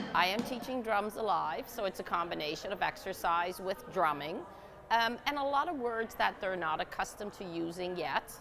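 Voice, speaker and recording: With a Dutch accent, a woman talks at a medium pitch using lively intonation. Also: moderate pace. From Netherlands. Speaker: exercise instructor. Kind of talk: exercise class instruction and interview. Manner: energetic commands.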